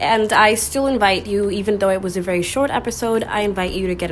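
A woman speaks at a medium pitch, with audible room echo. Noticeable background noise runs underneath. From Puerto Rico. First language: Spanish. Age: 20s. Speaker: podcast host. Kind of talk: solo podcast monologue. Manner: animated.

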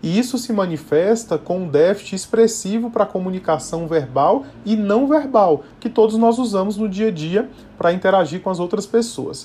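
Moderate pace and lively intonation from a male speaker with a high pitch. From Bahia, Brazil. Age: 30s. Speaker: neurologist. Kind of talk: podcast interview, explanatory.

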